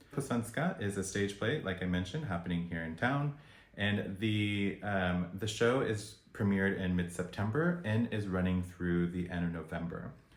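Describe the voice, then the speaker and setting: A man with an American accent has a very deep, low pitch and ordinary pitch variation. He talks at a moderate pace with hardly any pauses, and audible room echo surrounds his voice. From United States. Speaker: video blogger reviewing events. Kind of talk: review vlog.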